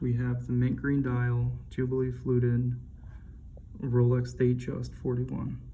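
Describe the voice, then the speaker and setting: A soft-spoken man at a moderate pace. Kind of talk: soft-spoken ASMR watch review.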